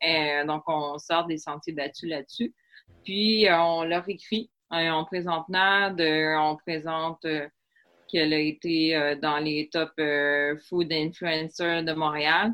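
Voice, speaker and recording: In a Quebec accent, a woman speaks very slowly with a very deep, low pitch. Her intonation stays fairly even. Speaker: English teacher and former hotel worker. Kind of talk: casual interview.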